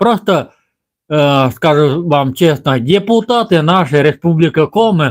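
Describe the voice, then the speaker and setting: Speaking very slowly, a man uses a fairly high-pitched voice. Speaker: village vlogger. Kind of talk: live stream monologue. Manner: halting.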